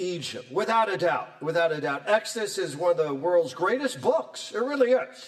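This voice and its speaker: High-pitched and animated in tone, a man speaks at a fairly slow pace with very wide pitch swings. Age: 60s. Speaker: professor. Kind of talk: lecture.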